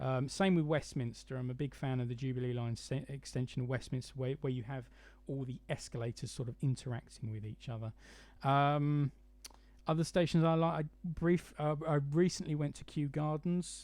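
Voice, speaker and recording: Against a quiet background, a man with a southern English accent speaks at a moderate pace, his fairly high pitch showing ordinary variation. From London area, England. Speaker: model railway YouTuber. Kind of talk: live stream chat. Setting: live stream from home. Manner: hesitant, many fillers.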